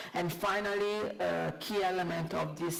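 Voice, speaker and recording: A woman speaks at a fairly slow pace with an Italian accent. The room echo is audible, and there is noticeable background noise. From Italy. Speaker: panelist. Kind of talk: panel discussion. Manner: halting, many fillers.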